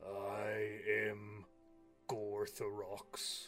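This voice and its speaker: A man puts on a gravelly, raspy character voice at a fairly low pitch, with clear music playing in the background. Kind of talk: polite shopkeeper.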